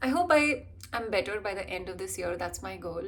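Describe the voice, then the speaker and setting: With an Indian accent, a woman talks at a moderate pace amid audible room echo. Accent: Indian, being worked on toward American. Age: 20s. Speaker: vlogger and actor/model. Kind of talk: casual vlog chat.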